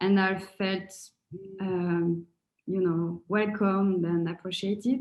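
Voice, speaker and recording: In a French accent, a woman speaks very slowly at a medium pitch, her intonation flat and monotone. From France. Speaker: coaching course participant. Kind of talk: testimonial. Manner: halting, with many fillers and repetitions.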